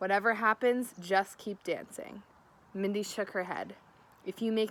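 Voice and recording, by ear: Intonation is fairly even here. The text is read aloud in a natural voice.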